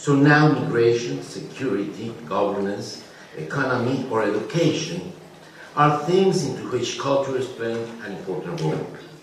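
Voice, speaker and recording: A Spanish accent comes through with lively intonation at a moderate pace. There is audible room echo and noticeable background noise. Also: man. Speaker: cultural organization president, panelist. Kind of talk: conference speech. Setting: conference panel. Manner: formal, read from prepared text; some stumbles and repeated words.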